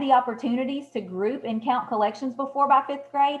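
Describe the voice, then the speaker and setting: In a high pitch, a woman speaks with a lively rise and fall. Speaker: math education consultant. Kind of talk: webinar presentation. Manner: fast; hesitant, many fillers.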